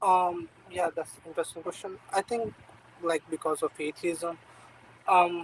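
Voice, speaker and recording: Speaking with a non-native accent, a man uses a high pitch and a monotone, flat intonation at a moderate pace, with long, frequent pauses and a dry, close sound with no echo. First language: not English. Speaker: caller. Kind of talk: casual chat. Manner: halting.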